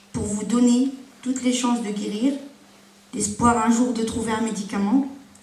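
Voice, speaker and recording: In a room with audible echo and noticeable background noise, a woman speaks in a fairly high, monotone, flat voice. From Ardennes, northeastern France. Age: 30s. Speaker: patient giving testimony. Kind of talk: testimony. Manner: halting.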